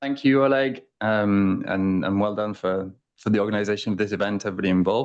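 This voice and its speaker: Speaking at a very fast pace, a man with an English accent uses a fairly low pitch and ordinary pitch variation against a quiet background. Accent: English accent, remarked on as own. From England. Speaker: international arbitration lawyer. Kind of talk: conference talk.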